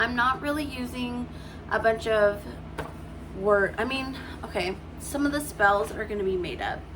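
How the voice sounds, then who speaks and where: A woman speaks at a fairly high pitch, leaving long, frequent pauses. Noticeable background noise and audible room echo surround her voice. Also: ordinary pitch variation, moderate pace. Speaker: writing vlogger. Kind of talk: casual vlog talk. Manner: halting, stumbling over words.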